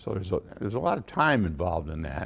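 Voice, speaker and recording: A man with an American accent talks at a very deep, low pitch. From Syracuse, upstate New York. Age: 70s. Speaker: retired lawyer and judge. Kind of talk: interview, reflective conversation. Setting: podcast interview. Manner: measured, hesitant with fillers.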